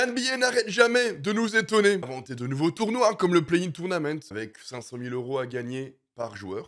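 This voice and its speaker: A man speaks at a high pitch with very wide pitch swings. His loudness swings widely, and there are hardly any pauses. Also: moderate pace. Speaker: NBA news youtuber. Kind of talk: casual vlog-style news commentary. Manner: animated.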